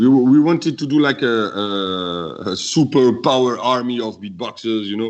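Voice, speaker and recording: A French accent at a moderate pace, with ordinary pitch variation and hardly any pauses. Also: man, medium pitch for a man. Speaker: beatboxer. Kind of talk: interview. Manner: halting.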